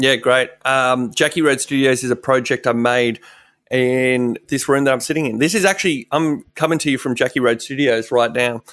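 Here a man talks with an Australian accent. His pace is moderate and his intonation fairly even. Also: medium pitch for a man. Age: 30s. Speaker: radio presenter. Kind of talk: casual interview chat. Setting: video call.

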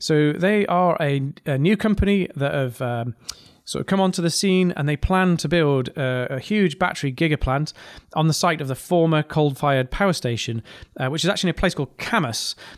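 On a very clean recording with a silent background, a man with a fairly high pitch talks with a slight northeast English accent. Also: ordinary pitch variation, fairly quick pace, dry, close sound with no echo. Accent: northeast English, mild. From northeast England. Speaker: podcast host, engineer and business leader. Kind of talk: podcast monologue.

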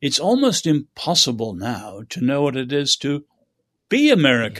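Against a quiet background, a man with a British accent and medium pitch speaks at a fairly slow pace with very wide pitch swings. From China, schooled in England. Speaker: author and social critic. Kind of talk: interview.

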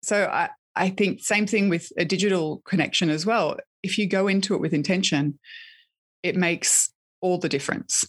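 Against a quiet background, a woman with an Australian accent talks at a moderate pace and medium pitch, with ordinary pitch variation, very even loudness, and a dry, close sound with no echo. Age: 30s. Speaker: author and podcast host. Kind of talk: interview conversation.

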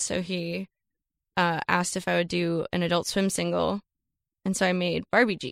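A woman speaks with an American accent at a moderate pace. The recording is very clean with a silent background, and the sound is dry and close with no echo. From Florida. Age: 20s. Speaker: musician. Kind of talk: casual chat. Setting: studio.

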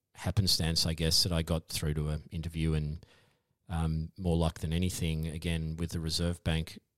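A man speaks at a very deep, low pitch. The recording is very clean with a silent background. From Tasmania, Australia. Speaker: economist and academic. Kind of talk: podcast interview.

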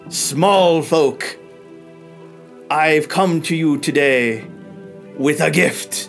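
Over clear background music, a man puts on a character voice at a fairly high pitch, going very slowly with long, frequent pauses. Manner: imposing, grandiose.

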